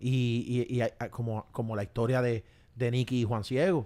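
A man at a medium pitch on a very clean recording with a silent background. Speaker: podcast host. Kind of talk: casual interview. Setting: on location in Miami.

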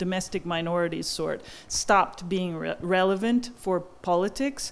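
A woman speaks in an unremarkable speaking voice at a medium pitch. Her pace is moderate and her pitch variation ordinary. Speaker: historian. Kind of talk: audience Q&A. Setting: stage with audience. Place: hall.

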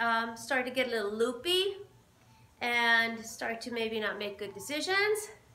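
Audible room echo hangs around a woman's voice. Her pace is moderate. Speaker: boxing fitness instructor. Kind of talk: tutorial. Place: gym. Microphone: camera far.

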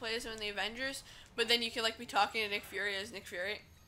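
A woman talks very fast in a high-pitched voice. Background noise is clearly audible. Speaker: gaming YouTuber. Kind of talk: casual let's play commentary. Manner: frequent laughter.

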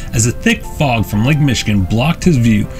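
The words come at a fairly quick pace over music in the background. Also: man. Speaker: channel narrator. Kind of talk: documentary narration.

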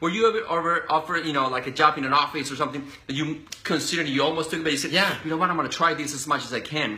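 Speaking at a very fast pace in an animated tone, a man talks with a Spanish accent. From Colombia. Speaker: interview host. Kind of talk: casual interview. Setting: live video stream. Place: home room. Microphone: phone near.

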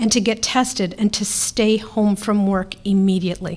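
A woman talks at a moderate pace. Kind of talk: press briefing statement. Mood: serious, measured. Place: hall. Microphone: podium.

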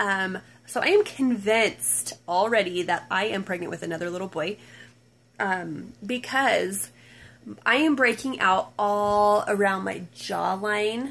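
A woman's pitch varies in an ordinary way as she talks fairly slowly. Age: 30s. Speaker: mom vlogger. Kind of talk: casual vlog monologue. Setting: home at night, nursing baby on lap. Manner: hesitant, many ums. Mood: relaxed, chatty. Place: home room. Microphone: phone near.

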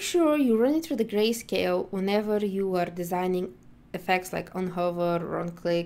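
Music plays in the background as a woman speaks at a moderate pace with ordinary pitch variation. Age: 20s. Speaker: accessibility instructor. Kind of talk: tutorial.

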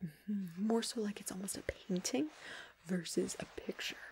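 Soft-spoken, with a gentle tone and a fairly slow pace. Light background noise sits behind the voice. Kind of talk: directing a photo shoot. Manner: soft, gentle ASMR speaking voice. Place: home room.

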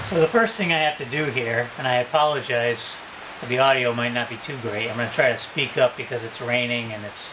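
Noticeable background noise runs under a man speaking at a moderate pace. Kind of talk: tutorial. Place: boat. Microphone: phone near.

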